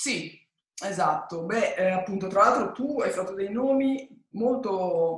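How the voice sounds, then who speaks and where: At a very slow pace, a woman of medium pitch speaks with ordinary pitch variation amid audible room echo. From Italy, Genoa. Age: 50s. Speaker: music manager. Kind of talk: interview on a webinar.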